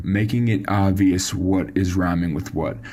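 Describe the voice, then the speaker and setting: A man is talking, and noticeable background noise can be heard behind him. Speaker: songwriting coach. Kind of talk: tutorial. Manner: casual.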